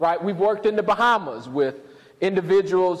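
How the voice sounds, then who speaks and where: Noticeable background noise sits behind a man with a high voice and a Southern US accent. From US South. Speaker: pastor and professor. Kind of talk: lecture.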